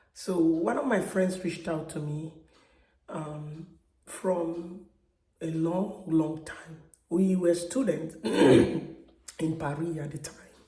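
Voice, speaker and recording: Over audible room echo, a woman with a fairly low voice speaks very slowly, showing ordinary pitch variation and big swings in loudness. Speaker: vlogger. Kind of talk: personal testimony. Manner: halting.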